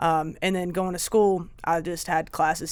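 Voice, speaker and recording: On a very clean recording with a silent background, a woman in a Southern US accent speaks with a fairly low pitch and fairly even intonation. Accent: Southern US (Georgia). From Northern Georgia, US. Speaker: Marine Corps veteran, strength and conditioning coach. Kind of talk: interview answer.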